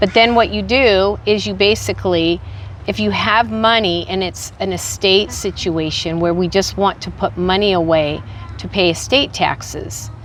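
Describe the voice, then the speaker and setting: A woman talks at a moderate pace in a fairly low pitch with very wide pitch swings. There is noticeable background noise. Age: 60s. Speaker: insurance agent. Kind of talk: interview.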